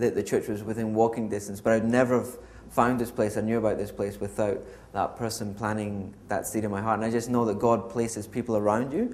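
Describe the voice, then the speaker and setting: A man's fairly low voice with a Scottish accent, fairly quick and monotone, with flat intonation. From Scotland. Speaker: church member. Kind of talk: testimony. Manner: hesitant, many filler ums.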